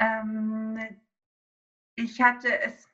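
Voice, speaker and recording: This woman has a high pitch. Her tone is bright and sharp. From Greece, small island. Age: 30s. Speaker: yoga teacher and essential oil consultant. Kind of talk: interview about essential oils.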